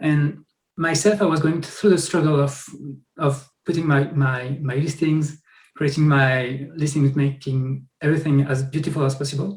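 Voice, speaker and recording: A man speaks with a French accent, somewhat breathy and fairly high-pitched. His moderate pace comes with fairly even intonation. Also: quiet background. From France. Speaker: software founder; guest. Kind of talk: interview. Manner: halting, many repetitions. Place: home room. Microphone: webcam.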